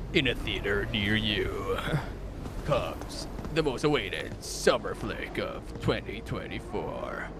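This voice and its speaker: Over loud background noise, someone speaks very slowly in a put-on character voice. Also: man. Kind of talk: dramatic trailer narration.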